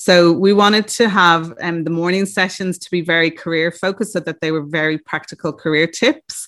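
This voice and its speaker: This woman has an Irish accent and a fairly low pitch. She speaks with hardly any pauses. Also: fairly even intonation, fairly quick pace. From Ireland. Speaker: recruitment business founder. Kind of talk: interview.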